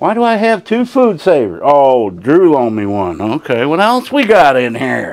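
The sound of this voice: At a fairly slow pace, a man speaks with a fairly high pitch, big pitch swings and a slightly mellow tone.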